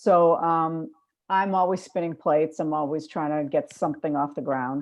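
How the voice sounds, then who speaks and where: With a Boston accent, a woman speaks at a moderate pace in a fairly low pitch with ordinary pitch variation. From Boston, Massachusetts. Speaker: filmmaker. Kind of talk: panel discussion.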